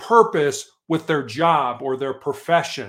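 Lively intonation marks a man's speech in an American accent. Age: 60s. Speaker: motivational coach. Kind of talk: interview.

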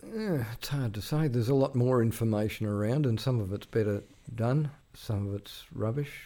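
With an Australian accent, a man talks at a moderate pace in a dark, mellow tone. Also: medium pitch for a man, ordinary pitch variation. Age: 60s. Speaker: veteran journalist. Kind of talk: casual interview. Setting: studio. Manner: halting, with repeated words.

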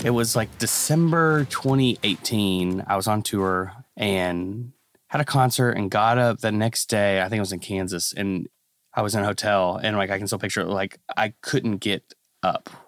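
A man talks at a moderate pace in a fairly low pitch with ordinary pitch variation. It is an unremarkable speaking voice. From US Midwest, born in Kentucky. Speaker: singer-songwriter. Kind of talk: casual chat.

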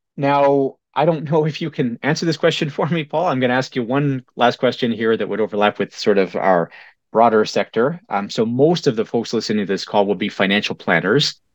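A man's normal speaking voice at medium pitch, a fairly quick pace with hardly any pauses, lively intonation, and a dry, close sound with no echo. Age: 40s. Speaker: podcast host and financial educator. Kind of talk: interview.

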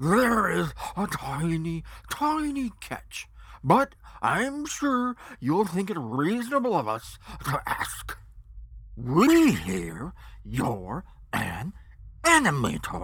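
Pausing long and often, a man performs a put-on character voice at a very slow pace and a high pitch. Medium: audio drama. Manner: pompous, bossy.

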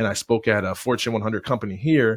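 A man with an American accent and a medium pitch speaks at a very fast pace in a very clean recording with a silent background. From Michigan, US. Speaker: motivational speaker. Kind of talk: interview.

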